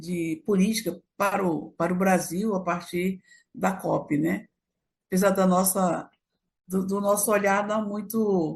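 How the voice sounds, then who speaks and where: A woman speaks very slowly, somewhat breathy. Her intonation stays fairly even. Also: medium pitch for a woman. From Brazil, Acre. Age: 70s. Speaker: activist. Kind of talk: casual chat.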